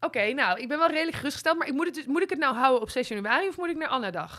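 Over a quiet background, a woman projects a raised voice with a bright, sharp tone, very wide pitch swings, and a very fast pace. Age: 30s. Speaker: podcast co-host. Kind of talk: casual chat. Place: studio. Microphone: studio mic.

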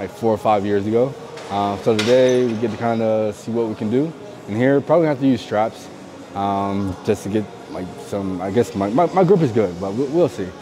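Over faint music in the background, a man talks at a fairly quick pace with a fairly low pitch. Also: ordinary pitch variation. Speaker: powerlifter vlogger. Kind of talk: casual vlog chat. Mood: relaxed then frustrated. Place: gym. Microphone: lapel.

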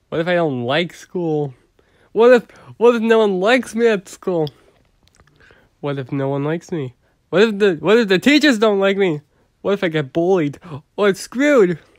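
Using a whiny, put-on character voice, a man speaks at a high pitch and a fairly slow pace with lively intonation, in a dry, close sound with no echo. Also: long, frequent pauses. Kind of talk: comic overacting. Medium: read story. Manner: panicky, whiny, profane comic overacting.

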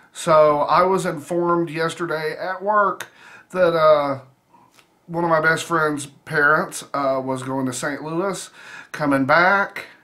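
Very slowly and with fairly even intonation, a man speaks against a quiet background. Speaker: food vlogger. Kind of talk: casual vlog chat. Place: home room. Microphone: phone near.

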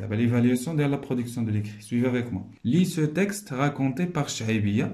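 A man speaks with lively intonation and a dark, mellow tone. His voice is somewhat breathy. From Morocco. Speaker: primary school teacher. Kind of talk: tutorial. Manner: slow, explanatory. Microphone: phone near.

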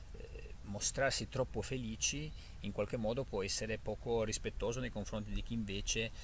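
A man is heard in a dry recording with no echo and light background noise. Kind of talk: casual reflective vlog talk. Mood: calm, thoughtful. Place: forest. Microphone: phone near.

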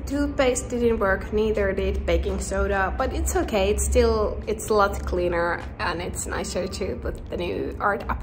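Music plays in the background as a woman talks at a fairly slow pace. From Finland. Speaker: visual artist, painter. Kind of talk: casual vlog talk to camera. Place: shop. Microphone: phone near.

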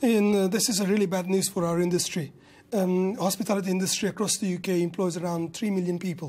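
A man with a Kurdish-Turkish accent talks at a very fast pace, his high voice keeping a fairly even intonation. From Kurdish region of Turkey. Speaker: restaurant business owner and industry campaigner. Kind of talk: news interview. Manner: halting. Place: studio. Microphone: lapel.

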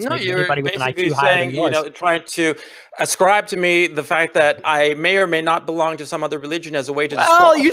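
Noticeable background noise sits behind a man speaking at a very fast pace in a fairly high pitch with fairly even intonation. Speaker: guest on an online political show. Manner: combative, sarcastic.

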